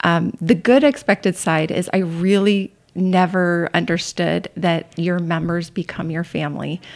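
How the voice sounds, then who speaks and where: A woman talks at a fairly slow pace with hardly any pauses, in a plain, everyday voice. Her pitch is fairly low and her intonation fairly even. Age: 50s. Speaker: CrossFit coach and gym member. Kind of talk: casual interview.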